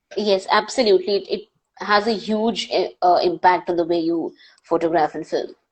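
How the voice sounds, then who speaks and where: A woman with an Indian accent, medium in pitch, at a moderate pace with fairly even intonation. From India, Panvel near Mumbai. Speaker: wildlife filmmaker and presenter. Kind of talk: live Q&A interview.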